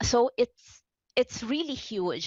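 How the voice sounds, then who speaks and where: Speaking fairly slowly with lively intonation and a non-native accent, the voice sounds dry and close, with no echo. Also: woman. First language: not English. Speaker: game UI developer, accessibility advocate. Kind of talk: panel discussion. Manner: halting, many fillers and restarts.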